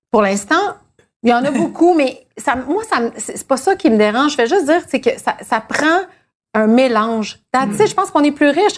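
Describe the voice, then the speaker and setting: The woman's high voice swings very widely in pitch while she keeps a moderate pace. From Quebec. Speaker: TV host. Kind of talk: casual chat. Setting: dinner at a home.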